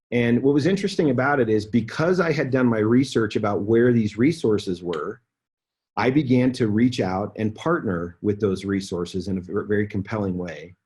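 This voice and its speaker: A man's somewhat breathy voice at medium pitch, with lively intonation, a moderate pace and a quiet background. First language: Spanish. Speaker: business executive. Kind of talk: training talk. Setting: conference call.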